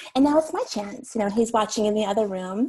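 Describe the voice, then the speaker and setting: Noticeable background noise sits behind a woman speaking. Her pitch is high, with ordinary variation. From US Northeast, Long Island, New York. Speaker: novelist. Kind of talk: interview conversation.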